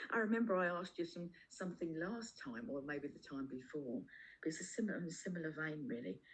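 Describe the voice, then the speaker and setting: Her pace is very fast, and her intonation is lively. The woman's pitch is fairly low. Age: 60s. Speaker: community elder, call participant. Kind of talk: casual question in online circle. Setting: video call. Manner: halting, with repetitions.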